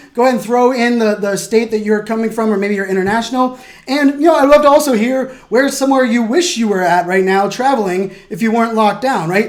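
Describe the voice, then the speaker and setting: Speaking at a very fast pace, a man uses an extremely high pitch and an animated tone with ordinary pitch variation. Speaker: keynote speaker and presentation coach. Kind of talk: tutorial.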